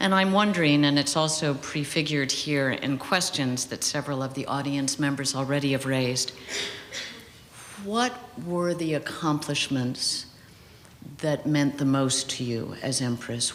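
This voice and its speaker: Noticeable background noise runs under the speech. Delivery keeps a moderate pace. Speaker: interviewer. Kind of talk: interview. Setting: stage with audience. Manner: soft-spoken.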